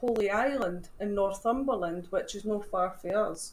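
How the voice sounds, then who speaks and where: In a Scottish accent, a woman speaks at a fairly slow pace with ordinary pitch variation, and audible room echo can be heard. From Scotland. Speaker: paranormal team founder. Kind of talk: casual chat.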